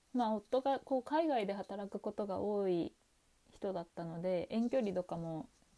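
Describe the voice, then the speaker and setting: A woman's dark, mellow voice at medium pitch, with lively intonation and a moderate pace. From Japan. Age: 30s. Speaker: podcast host. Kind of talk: personal storytelling monologue.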